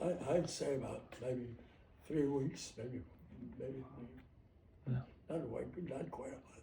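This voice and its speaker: A man with an American accent speaks at medium pitch in a dark, mellow tone with vocal fry and ordinary pitch variation. He goes at a very slow pace, with long, frequent pauses. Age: 80s+. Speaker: war veteran. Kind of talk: interview answer.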